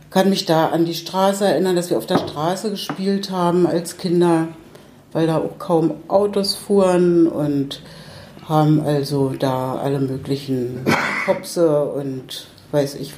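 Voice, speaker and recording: A woman's very deep, low voice at a very slow pace, with ordinary pitch variation, audible room echo and noticeable background noise. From Berlin (Pankow), East Germany. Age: 70s. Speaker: retired social worker, widow of an artist. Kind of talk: casual interview. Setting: at her home. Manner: halting.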